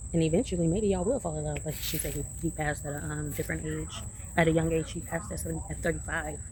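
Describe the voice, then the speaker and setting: A woman talks at a very fast pace. The room echo is audible. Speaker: vlogger. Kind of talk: casual vlog monologue.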